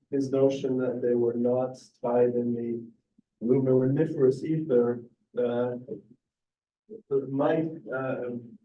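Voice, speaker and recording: Audible room echo surrounds a man's fairly high voice, delivered at a fairly slow pace with fairly even intonation. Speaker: chemistry professor. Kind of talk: lecture. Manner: halting, many fillers.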